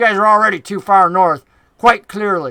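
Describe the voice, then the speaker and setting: This is a put-on character voice in a Southern US accent at middle pitch. It moves at a moderate pace against a quiet background. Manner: sarcastic, dry.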